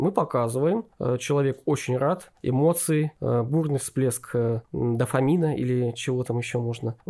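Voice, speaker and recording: At a fairly slow pace, a man with a medium pitch and a dark, mellow tone talks with ordinary pitch variation. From Novosibirsk, Russia. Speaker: historian, museum co-founder. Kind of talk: casual interview.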